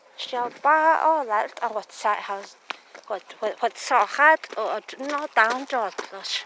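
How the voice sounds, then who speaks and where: Against noticeable background noise, a woman speaks at a very slow pace. Her pitch is high, with ordinary variation. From Navajo Nation, Canyon de Chelly, Arizona. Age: 40s. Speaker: vlogger, storyteller. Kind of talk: casual oral storytelling while walking. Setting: outdoors walking a dog. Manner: halting, repetitive.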